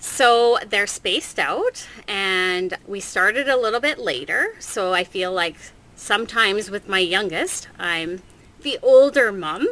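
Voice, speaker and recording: A woman with an unremarkable speaking voice talks at a fairly slow pace, using lively intonation at a medium pitch. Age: 40s. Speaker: stay-at-home mom with ADHD, interview guest. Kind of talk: casual interview chat.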